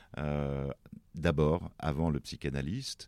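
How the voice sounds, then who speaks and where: The background is silent on a very clean recording. A man talks very slowly. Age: 60s. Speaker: writer and press attaché. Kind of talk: interview about his depression. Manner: halting, many hesitations.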